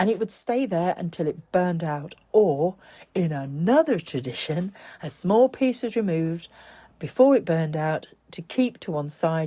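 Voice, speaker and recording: A woman's somewhat breathy, dark, mellow voice with a British accent, fairly low in pitch, at a moderate pace. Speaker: pagan podcaster. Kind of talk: podcast talk on pagan folklore.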